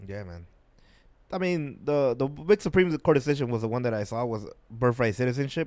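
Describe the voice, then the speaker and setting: With a normal speaking voice, a man of medium pitch talks at a fairly quick pace, using lively intonation and big swings in loudness, on a very clean recording with a silent background. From immigrant to the US. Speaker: comedian and podcast co-host. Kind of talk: casual chat.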